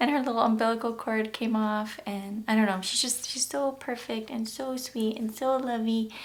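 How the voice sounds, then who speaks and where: A woman at a moderate pace, intonation fairly even, with noticeable background noise. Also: hardly any pauses. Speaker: YouTube vlogger, new mother. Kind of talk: personal storytelling vlog. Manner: emotional, shaky.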